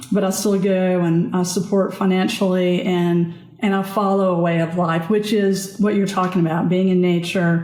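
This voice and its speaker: A woman of medium pitch in a Southern US accent, monotone and flat, with very even loudness, hardly any pauses and audible room echo. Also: moderate pace. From US South. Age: 60s. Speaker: author and nurse, trauma survivor. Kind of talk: interview conversation.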